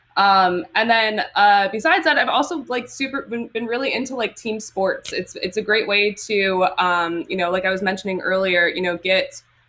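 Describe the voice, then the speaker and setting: A woman with an American accent talks at a moderate pace and medium pitch. Her intonation is lively, with hardly any pauses. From Michigan. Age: 30s. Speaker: roller derby skater. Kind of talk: live stream Q&A. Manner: halting, many fillers.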